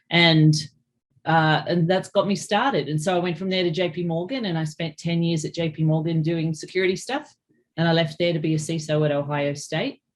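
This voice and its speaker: A woman speaks with an Australian accent at a fairly low pitch. Her pace is fairly quick and her pitch varies in an ordinary way. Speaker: cybersecurity executive. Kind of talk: interview.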